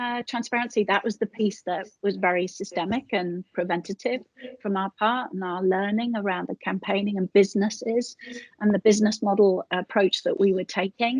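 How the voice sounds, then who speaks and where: A woman with a British accent at a medium pitch, fairly even in intonation and moderate in pace, in a dry, close sound with no echo. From Britain. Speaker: charity chief executive. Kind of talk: live-streamed conversation. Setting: live stream. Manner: halting, many fillers.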